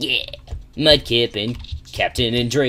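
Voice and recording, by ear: The passage is read aloud. Natural delivery throughout.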